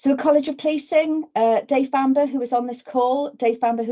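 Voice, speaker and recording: A woman speaks at a fairly quick pace with a high pitch and a dark, mellow tone. Her intonation stays fairly even against a quiet background. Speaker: webinar presenter on police welfare. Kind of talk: webinar presentation. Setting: video call. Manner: fast.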